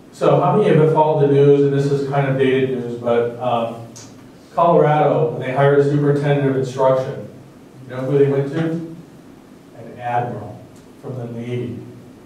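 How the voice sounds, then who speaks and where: A man's fairly high voice at a very fast pace with fairly even intonation, audible room echo and noticeable background noise. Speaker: dean giving a leadership seminar. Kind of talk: lecture.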